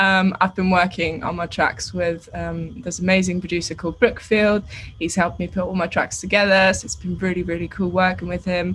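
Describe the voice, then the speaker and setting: A woman speaks in a fairly low pitch with vocal fry. Her intonation stays monotone and flat. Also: fairly quick pace, hardly any pauses. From Austria. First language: German. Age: 20s. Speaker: singer-songwriter. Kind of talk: radio interview.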